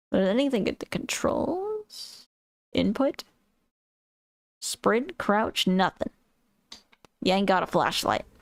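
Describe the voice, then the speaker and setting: A woman with a high pitch and very wide pitch swings speaks very slowly with long, frequent pauses, in a dry, close sound with no echo. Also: very even loudness. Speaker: gaming streamer. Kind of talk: live gameplay commentary. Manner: casual, off the cuff.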